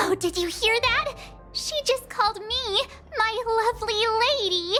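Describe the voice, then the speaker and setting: Over clear music in the background, a woman uses a cartoonish character voice at an extremely high pitch and a moderate pace. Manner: bubbly, excitable.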